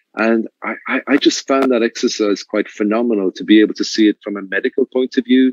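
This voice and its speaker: A man with an Irish accent talks at a fairly quick pace and medium pitch, with fairly even intonation and hardly any pauses, in a dry, close sound with no echo. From Ireland. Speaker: luxury resort manager. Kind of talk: interview. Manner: halting, with repeated words.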